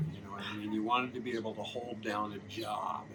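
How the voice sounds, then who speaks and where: With audible room echo and noticeable background noise, a man speaks fairly quickly in a medium pitch. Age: 70s. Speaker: musician. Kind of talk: casual chat.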